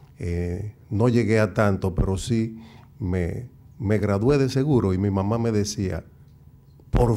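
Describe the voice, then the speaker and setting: Very slow in pace, a man speaks at a fairly low pitch with a dark, mellow tone and ordinary pitch variation. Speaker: intellectual and TV commentator. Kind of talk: speech. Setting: stage with audience.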